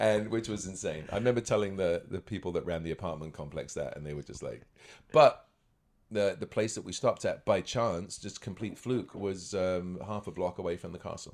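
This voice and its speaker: Fairly quick and fairly low-pitched, a man's voice shows ordinary pitch variation and big swings in loudness. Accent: southern English. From England, near London (born in Scotland). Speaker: magician and actor. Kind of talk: casual chat.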